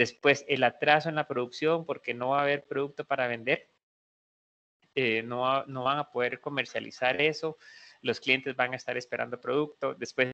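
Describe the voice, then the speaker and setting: In a monotone, flat intonation, a man talks with a medium pitch. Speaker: veterinarian and university lecturer. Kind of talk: lecture. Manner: fast.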